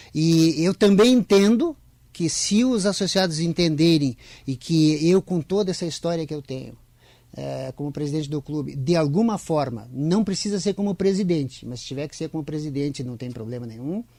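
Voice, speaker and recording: A fairly high-pitched man speaks with lively intonation and a dark, mellow tone. His loudness swings widely at a moderate pace. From southern Brazil. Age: 60s. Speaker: farmers' club president. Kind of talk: radio interview.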